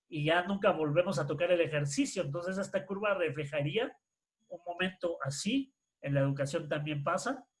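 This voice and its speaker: With lively intonation, a high-pitched man talks at a moderate pace. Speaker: workshop presenter on education. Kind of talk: online workshop lecture.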